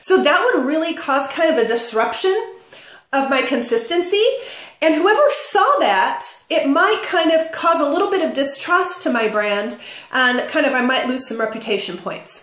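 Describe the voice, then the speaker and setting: A loud, high-pitched woman's voice with very wide pitch swings, at a moderate pace, in a room with audible echo. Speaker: direct sales business coach. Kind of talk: tutorial. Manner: casual and animated.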